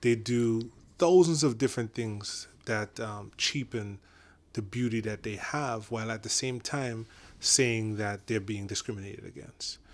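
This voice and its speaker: On a very clean recording with a silent background, a man at medium pitch speaks at a moderate pace with ordinary pitch variation. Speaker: podcast guest. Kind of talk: casual discussion. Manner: animated, with many fillers and restarts.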